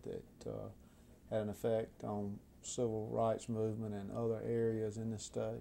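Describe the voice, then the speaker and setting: A man with an American accent speaks in a medium pitch at a fairly slow pace. His tone is dark and mellow. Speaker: attorney interviewer. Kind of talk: oral-history interview questions. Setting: law office. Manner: polite, hesitant questioner with 'uh' fillers.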